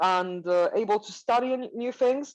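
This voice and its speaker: A woman with a Swiss accent speaks with lively intonation. The background is quiet. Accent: Swiss, non-native English. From Switzerland. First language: not English. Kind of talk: interview. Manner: halting, frequent fillers and self-corrections.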